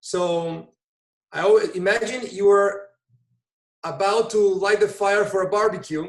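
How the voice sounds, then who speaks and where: A high-pitched man at a fairly slow pace with fairly even intonation. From Brazil. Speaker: volunteer EMT and emergency service director. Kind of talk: interview conversation.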